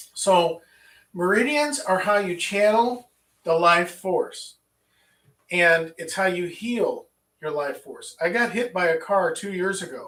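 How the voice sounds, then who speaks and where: A man with an American accent speaks very slowly at a high pitch, his tone bright and sharp. His loudness swings widely, with ordinary pitch variation. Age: 60s. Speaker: qigong teacher. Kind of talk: lecture. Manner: halting.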